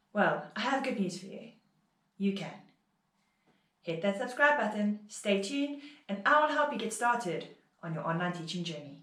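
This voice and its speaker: In a room with audible echo, a woman at medium pitch talks at a moderate pace with very wide pitch swings, big swings in loudness, and long, frequent pauses. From South Africa. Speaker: online English teacher. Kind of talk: tutorial vlog.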